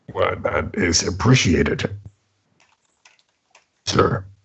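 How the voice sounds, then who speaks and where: A man puts on a character voice that is raspy and fairly low in pitch. He speaks at a very slow pace. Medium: actual play. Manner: haughty, formal.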